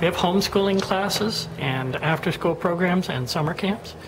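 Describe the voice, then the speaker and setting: Noticeable background noise sits behind a woman whose pitch varies in an ordinary way. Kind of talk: walking tour narration. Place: shop. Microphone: phone near.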